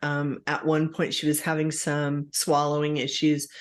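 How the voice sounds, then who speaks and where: The background is quiet. A woman with a very deep, low pitch speaks at a fairly slow pace. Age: 60s. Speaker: podcast host. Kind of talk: casual chat. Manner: hesitant, many fillers.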